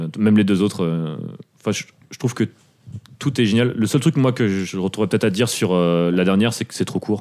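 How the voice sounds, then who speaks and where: A man talks at a fairly quick pace in a fairly low pitch with ordinary pitch variation. It is an unremarkable speaking voice. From Paris suburbs, France. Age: 30s. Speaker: punk/hardcore podcast co-host. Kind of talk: casual chat.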